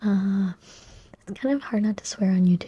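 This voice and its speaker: A soft-spoken woman talks at a moderate pace with a dark, mellow tone. Her delivery is calm and relaxed, and somewhat breathy. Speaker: ASMR YouTuber. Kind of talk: soft-spoken ASMR movie and TV chat to camera. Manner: calm, soft-spoken, relaxed.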